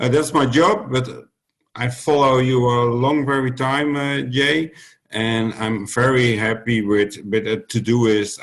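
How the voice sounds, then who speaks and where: A man with a Dutch accent at a very slow pace. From Netherlands. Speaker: youth protection worker. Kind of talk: roundtable discussion. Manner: halting.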